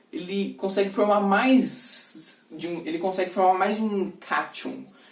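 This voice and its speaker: The speech moves at a very slow pace with noticeable background noise. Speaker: student tutor reviewing school material. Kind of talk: lecture. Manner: casual, with fillers and self-corrections.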